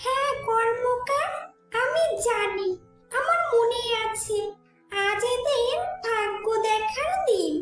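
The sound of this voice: An extremely high, cartoonish character voice speaks at a very slow pace. Faint music and a slight echo sit behind it.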